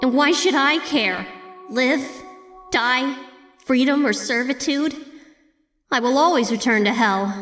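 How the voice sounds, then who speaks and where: A female-sounding voice puts on a character at a high pitch and a fairly slow pace. Faint music plays in the background. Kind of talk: audio drama. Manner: teasing, taunting.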